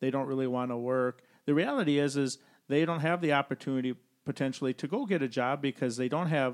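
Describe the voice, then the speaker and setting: A man with a fairly high pitch speaks at a fairly quick pace in a plain, everyday voice. The sound is dry and close with no echo, on a very clean recording with a silent background. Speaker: financial advisor and podcast host. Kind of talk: casual podcast discussion.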